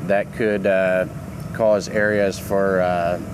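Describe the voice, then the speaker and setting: The man's voice sits fairly low in pitch. There is noticeable background noise behind him. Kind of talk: product demonstration. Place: open country.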